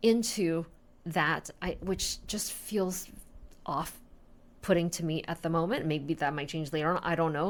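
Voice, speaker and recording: A woman's fairly low voice at a fairly slow pace, with ordinary pitch variation. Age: 40s. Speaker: industrial designer and entrepreneur. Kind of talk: casual talk to camera. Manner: unscripted, reflective.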